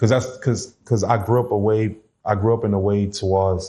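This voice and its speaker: A man's somewhat breathy, fairly low voice, dark and mellow in tone, with fairly even intonation and very even loudness. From New Orleans, Louisiana, US South. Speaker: former prison inmate. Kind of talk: casual interview.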